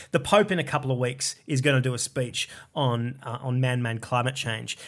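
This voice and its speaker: A man with an Australian accent, medium pitch, fairly even intonation and a fairly quick pace, over a quiet background. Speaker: comedian. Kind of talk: casual chat.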